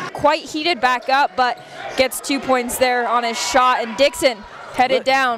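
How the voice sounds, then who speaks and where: A woman's high-pitched voice in an animated, excited tone, with ordinary pitch variation, over noticeable background noise. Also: moderate pace. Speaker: basketball play-by-play announcer. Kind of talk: live sports commentary.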